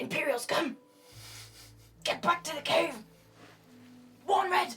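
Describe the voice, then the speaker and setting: A whispered, put-on character voice at a fairly slow pace, with music in the background. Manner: loud stage whisper, urgent.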